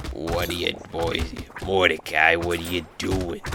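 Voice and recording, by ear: In a put-on character voice with a very deep, low pitch, the speaker goes at a fairly slow pace over clear background noise and sound effects.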